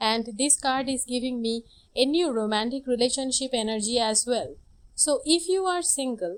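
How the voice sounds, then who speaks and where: Her voice high and her intonation lively, a woman speaks at a moderate pace. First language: not English. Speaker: tarot reader. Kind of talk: tarot reading.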